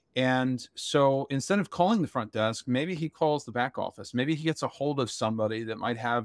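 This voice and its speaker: A man at a fairly quick pace, with ordinary pitch variation, in a dry sound with no echo against a quiet background. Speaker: webinar panelist. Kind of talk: webinar explanation. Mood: relaxed, lightly humorous. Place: home room. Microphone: video call.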